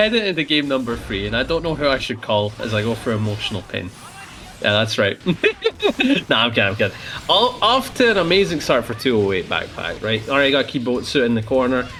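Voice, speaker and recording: Someone speaks at a very fast pace in a Scottish accent. Music plays in the background. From Scotland. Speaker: fighting game tournament co-commentator. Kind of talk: live commentary. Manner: animated.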